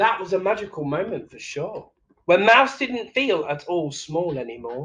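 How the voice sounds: With a bright, sharp tone, a man talks at a moderate pace and a high pitch, making big pitch swings amid audible room echo.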